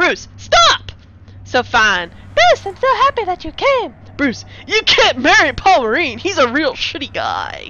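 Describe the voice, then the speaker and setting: A put-on character voice sits at a high pitch. It moves along at a fairly slow pace. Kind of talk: comic overacting. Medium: solo performance.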